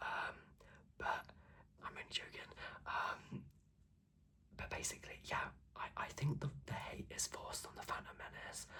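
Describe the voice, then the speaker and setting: Whispering at a fairly slow pace. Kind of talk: ASMR ramble to camera. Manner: soft, casual, chatty.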